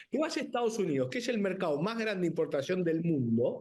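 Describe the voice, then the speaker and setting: An animated man with a Rioplatense accent, high-pitched, with very wide pitch swings. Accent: Argentine Rioplatense Spanish. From Argentina. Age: 50s. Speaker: winemaker and businessman. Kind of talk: TV interview.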